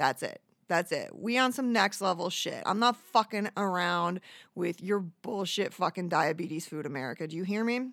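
In a normal speaking voice at medium pitch, a woman talks at a moderate pace with lively intonation, the sound dry and close with no echo. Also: very clean recording, silent background. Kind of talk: angry rant, profane venting about bad customers.

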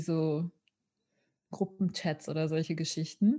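A woman's voice sits at a fairly low pitch, dark and mellow in tone. She speaks at a very slow pace. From Ruhr area, Germany (Witten). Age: 30s. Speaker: peace worker and board member. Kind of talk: podcast interview.

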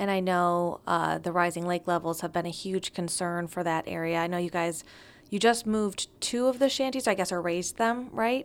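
In an American accent and an ordinary speaking voice, a woman talks at a moderate pace and fairly low pitch with ordinary pitch variation, recorded very cleanly against a silent background. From Northern Michigan. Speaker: podcast host. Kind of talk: interview.

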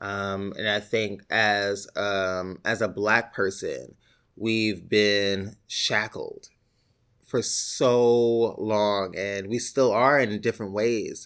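A very slow delivery in a New York accent, on a very clean recording with a silent background. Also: man, fairly low pitch for a man, fairly even intonation. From New York City, the Bronx. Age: 30s. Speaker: actor. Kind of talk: oral history interview. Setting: library office.

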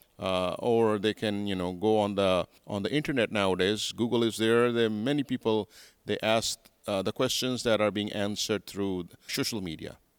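A man with an American accent talks at a moderate pace in a fairly low pitch and fairly even intonation, the sound dry and close with no echo on a very clean recording with a silent background. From Pakistan, Karachi. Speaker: pastor, church leader. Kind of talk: interview. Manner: articulate.

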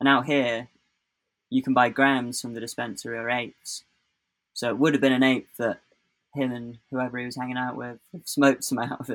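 In a southern English accent, a man talks with monotone, flat intonation. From England, Oxfordshire (Bicester). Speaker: skateboarder. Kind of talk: casual chat.

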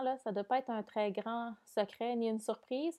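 A woman's fairly high-pitched voice unfolds at a fairly slow pace. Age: 30s. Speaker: podcast host. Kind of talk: casual monologue. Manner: hesitant, many fillers.

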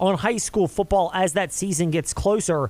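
This man's voice is high in pitch. He talks at a moderate pace. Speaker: sports radio host. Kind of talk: sports talk radio.

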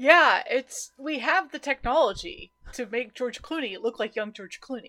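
A woman's high-pitched, raised and projected voice with lively intonation, big swings in loudness, a moderate pace, and a dry, close sound with no echo. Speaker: podcast co-host. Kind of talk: casual chat.

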